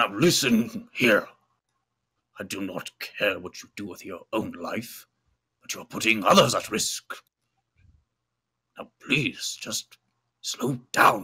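This raspy put-on character voice goes at a fairly slow pace. It leaves long, frequent pauses. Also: man, medium pitch for a man. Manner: firm, scolding.

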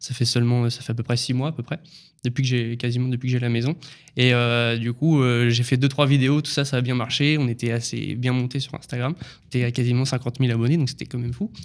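Here a man speaks at a fairly quick pace. His intonation is monotone and flat. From Normandy, France. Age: 20s. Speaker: construction site manager; podcast guest. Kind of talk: casual chat. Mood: relaxed, smiling. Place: studio. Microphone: studio mic.

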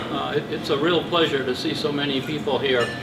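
The man's pitch varies in an ordinary way while noticeable noise carries on behind him. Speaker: guest. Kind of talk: club presentation talk. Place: hall. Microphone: camera far.

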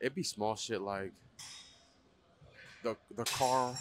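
A man at a fairly slow pace with ordinary pitch variation, a dry sound without echo and light background noise. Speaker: vlogger working out. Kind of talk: casual vlog chat. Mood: reflective, self-doubting. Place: gym.

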